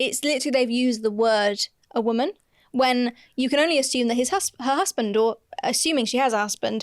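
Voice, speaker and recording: Speaking with a British accent, a woman has a high pitch and ordinary pitch variation. Her pace is fairly quick and her loudness very even. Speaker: podcast co-host and DIY renovation content creator. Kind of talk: casual chat.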